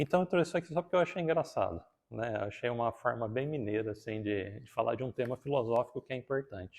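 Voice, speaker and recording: A man speaks at a fairly quick pace with a countryside Brazilian accent, his medium-pitched, somewhat breathy voice carrying lively intonation in a dry, close sound with no echo. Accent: countryside Brazilian accent, strong R. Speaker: spiritist lecturer. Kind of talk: talk at a spiritist centre.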